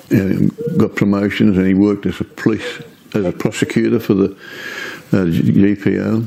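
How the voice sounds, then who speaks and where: With an Australian accent, a man speaks fairly slowly at a fairly low pitch against noticeable background noise. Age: 80s+. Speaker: retired police officer. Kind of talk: oral history interview. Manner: halting.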